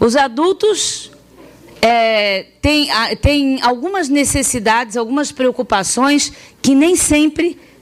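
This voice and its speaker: A woman speaks in a high pitch at a very slow pace. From Florianópolis, Santa Catarina, southern Brazil. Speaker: sex education specialist, pedagogue. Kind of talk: public talk with audience interaction. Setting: talk to parents, students and teachers. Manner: hesitant, many fillers and restarts.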